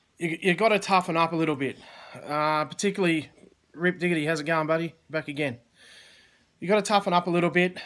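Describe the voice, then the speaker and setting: Over a silent background in a very clean recording, a man with an Australian accent talks at a very fast pace in a high pitch, his intonation fairly even and broken by long, frequent pauses. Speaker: online business coach. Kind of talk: live stream chat. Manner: casual, halting.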